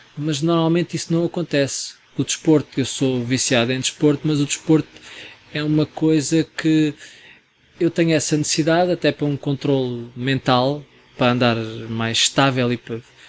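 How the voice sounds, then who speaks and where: A man's fairly high-pitched voice, fairly even in intonation, dry and close with no echo, over noticeable background noise. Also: moderate pace. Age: 40s. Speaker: photographer and restaurant manager. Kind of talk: casual chat.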